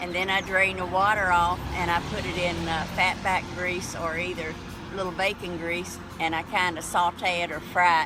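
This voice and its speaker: With a Southern US accent, a woman speaks at a moderate pace in a fairly low, monotone voice with flat intonation, and noticeable background noise is present. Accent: Southern US rural. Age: 70s. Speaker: forager. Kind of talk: interview explaining a recipe.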